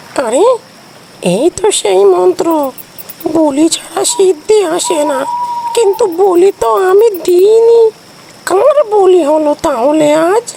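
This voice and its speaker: An extremely high-pitched, put-on character voice. It moves at a fairly slow pace. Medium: audio drama.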